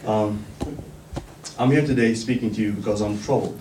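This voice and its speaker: A man talks at a fairly quick pace with a fairly low pitch. Audible room echo and noticeable background noise surround him. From northern Iraq. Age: 20s. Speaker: community activist. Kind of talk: speech.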